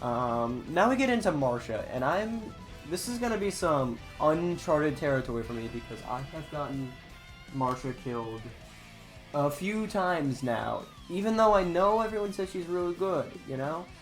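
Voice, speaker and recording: Music in the background behind moderately paced speech. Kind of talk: casual gaming commentary.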